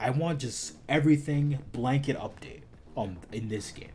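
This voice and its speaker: Music plays in the background while a man speaks with ordinary pitch variation. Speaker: gaming streamer. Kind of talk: casual live stream chat. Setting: live stream. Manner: fast.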